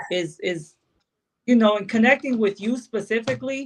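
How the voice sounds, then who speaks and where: A woman speaks at a fairly quick pace. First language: Spanish. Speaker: podcast co-host. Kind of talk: casual chat. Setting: live video stream. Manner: halting.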